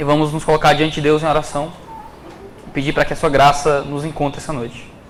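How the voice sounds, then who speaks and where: Over noticeable background noise and audible room echo, a man with a Ceará accent talks at a fairly quick pace. His fairly high voice stays monotone and flat. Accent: Cearense (northeastern Brazilian). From Ceará, Brazil. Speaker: preacher. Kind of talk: sermon.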